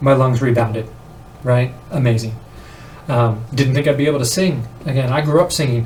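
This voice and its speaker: Audible room echo follows a man speaking at a fairly quick pace. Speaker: vlogger on weight loss. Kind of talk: casual vlog monologue. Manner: halting, many fillers; animated.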